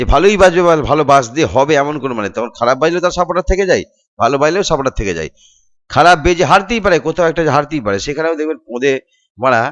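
Over a quiet background, a man talks in a normal speaking voice with lively intonation. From West Bengal, India (Nadia, Shantipur). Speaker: DJ and sound system operator, YouTuber. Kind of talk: vlog monologue, roasting rant.

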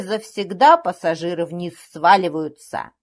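A woman speaks at a very slow pace. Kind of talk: literary audiobook reading of a comic skaz monologue.

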